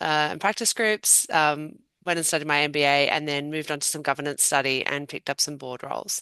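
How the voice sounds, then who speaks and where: Against a quiet background, a woman speaks at a moderate pace with an Australian accent. Her pitch is very deep and low, yet her tone is bright and sharp. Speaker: patent attorney and board director. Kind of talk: panel discussion.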